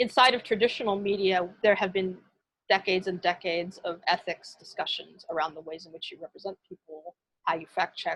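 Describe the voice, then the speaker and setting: Her pitch is medium, and this woman's voice shows ordinary pitch variation. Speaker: media researcher and lecturer. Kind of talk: lecture. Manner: fast.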